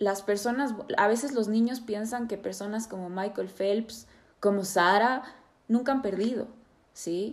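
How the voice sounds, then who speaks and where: Here is a woman with an unremarkable speaking voice and a fairly high pitch. She talks at a fairly slow pace with fairly even intonation. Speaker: psychotherapist and podcast host. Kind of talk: interview.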